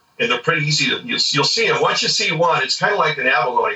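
A man talks with an American accent. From US West Coast, Southern California. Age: 60s. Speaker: dive instructor and spearfisher. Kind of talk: casual interview chat.

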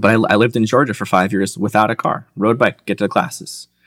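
In a plain, everyday voice with an American accent, the speaker goes at a fairly quick pace on a very clean recording with a silent background. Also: man. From Michigan. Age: 30s. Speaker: cyclist and graphic designer. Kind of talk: casual chat.

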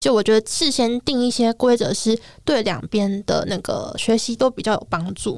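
A woman speaks at a moderate pace in a fairly high voice with ordinary pitch variation. The sound is dry and close with no echo. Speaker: illustrator. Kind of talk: casual chat.

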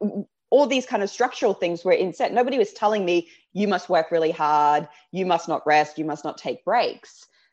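A woman's medium-pitched, lively intonation in an Australian accent, against a quiet background. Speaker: life coach. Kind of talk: casual chat. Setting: video call from home.

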